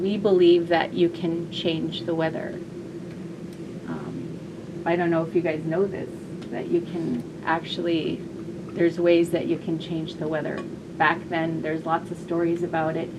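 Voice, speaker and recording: A woman speaks at a moderate pace in a monotone, flat way, leaving long, frequent pauses. Audible room echo and noticeable background noise fill the recording. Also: fairly low pitch for a woman. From southwest Alaska, Yupik region. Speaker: storyteller. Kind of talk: storytelling. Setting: classroom with audience. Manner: gentle.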